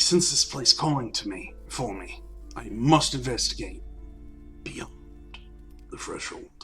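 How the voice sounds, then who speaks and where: Putting on a gruff character voice, a man speaks at a moderate pace with long, frequent pauses as clear music plays in the background. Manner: gruff attempt.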